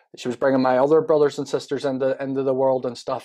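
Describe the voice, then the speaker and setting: A man's medium-pitched voice carries a dark, mellow tone. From Northern Ireland, Belfast. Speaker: former prisoner telling life story. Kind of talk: podcast interview, personal testimony. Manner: casual, repetitive fillers.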